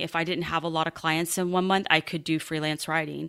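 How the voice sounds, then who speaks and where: On a very clean recording with a silent background, a woman speaks at a fairly low pitch in a bright, sharp tone with monotone, flat intonation. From US military family, moved often. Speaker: financial coach and military veteran. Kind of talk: interview.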